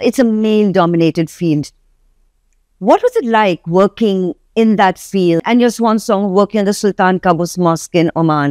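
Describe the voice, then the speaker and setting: A woman speaks in a normal speaking voice at a medium pitch with ordinary variation, keeping a moderate pace and very even loudness. The sound is dry and close with no echo, in a very clean recording with a silent background. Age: 60s. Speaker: interview show host. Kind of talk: interview.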